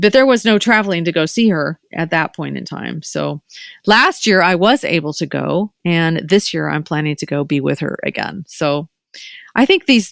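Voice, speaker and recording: Recorded very cleanly against a silent background with a dry, close sound and no echo, a woman speaks at a moderate pace with a fairly low pitch, lively intonation and vocal fry. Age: 60s. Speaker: podcast host and doctor. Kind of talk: casual chat. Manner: animated.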